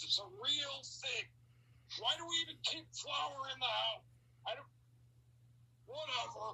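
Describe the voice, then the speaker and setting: A woman puts on a character voice. She speaks at a fairly slow pace. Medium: read story. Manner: gruff, grumbling.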